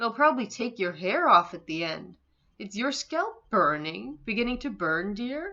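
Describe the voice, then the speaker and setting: A woman puts on a shrill character voice at a fairly high pitch, with very wide pitch swings, big swings in loudness and a moderate pace. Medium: read story. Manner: shrieking, scornful.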